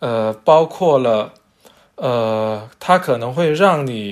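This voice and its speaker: The pace is very slow. A man speaks with lively intonation. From China, Zhanjiang, western Guangdong. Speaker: character encoding standards expert, publisher. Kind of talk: casual interview chat. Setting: remote virtual studio.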